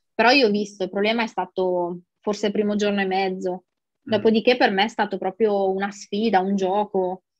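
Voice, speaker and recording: A woman speaks in a monotone, flat intonation at a moderate pace. The sound is dry with no echo, and the background is quiet. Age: 40s. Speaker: dieting client sharing weight loss results. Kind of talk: interview testimony; interview answer. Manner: casual, with many fillers. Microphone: earbuds.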